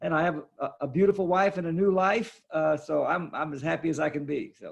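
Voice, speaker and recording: Pitched high, a man speaks with a Texan accent and fairly even intonation. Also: fairly quick pace. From Texas, Fort Worth. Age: 70s. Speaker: art dealer and author. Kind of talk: interview.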